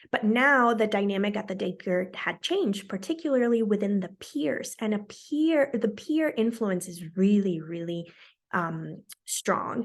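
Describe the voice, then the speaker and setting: A woman's medium-pitched voice with lively intonation, at a fairly slow pace against a quiet background. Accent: Spanish. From Colombia. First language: Spanish. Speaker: bilingual parenting vlogger. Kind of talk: casual vlog talk. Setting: home recording. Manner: conversational with fillers.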